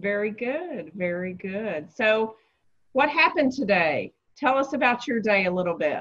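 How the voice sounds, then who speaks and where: A woman talks in a strong Southern US accent at a moderate pace. Her pitch swings very widely. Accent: deep Southern. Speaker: real estate agent. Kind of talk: interview.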